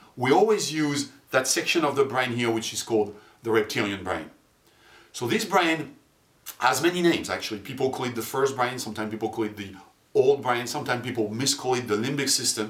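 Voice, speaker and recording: A man's plain, everyday voice, a plain, everyday voice at a medium pitch and a fairly quick pace. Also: ordinary pitch variation. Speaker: marketing and neuromarketing presenter. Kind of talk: corporate promo presentation. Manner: clear, explanatory.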